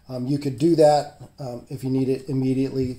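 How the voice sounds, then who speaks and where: A man's dark, mellow voice at a fairly quick pace. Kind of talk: tutorial. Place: garage. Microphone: phone near.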